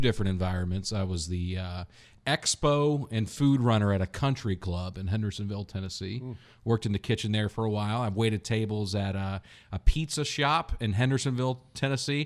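A man speaks at a fairly quick pace in a fairly low pitch with ordinary pitch variation, a plain, everyday voice against a quiet background. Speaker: comedian. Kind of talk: casual chat. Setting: studio.

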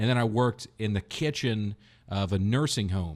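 Speaking fairly slowly in a plain, everyday voice, a man with a fairly low pitch shows ordinary pitch variation in a very clean recording with a silent background. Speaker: comedian. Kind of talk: casual chat. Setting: studio.

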